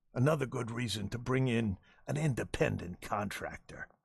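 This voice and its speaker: A man performs a put-on character voice that is raspy and medium in pitch. He keeps a moderate pace with ordinary pitch variation. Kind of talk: 1920s gangster slang. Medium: video game. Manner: blunt, gruff.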